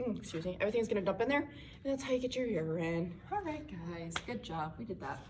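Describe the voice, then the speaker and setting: Through noticeable background noise, a woman's fairly high voice comes across with lively intonation. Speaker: student presenter. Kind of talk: tutorial. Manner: fast; casual.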